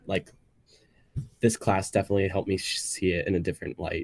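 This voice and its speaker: Over a silent background in a very clean recording, a man talks at a fairly quick pace. His pitch is fairly low. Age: young. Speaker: college student. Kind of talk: radio interview. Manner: casual, heavy use of like.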